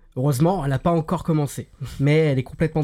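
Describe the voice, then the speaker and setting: The recording is very clean, with a silent background. A man speaks with a dark, mellow tone at a fairly high pitch. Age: 20s. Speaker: podcast host. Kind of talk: casual chat.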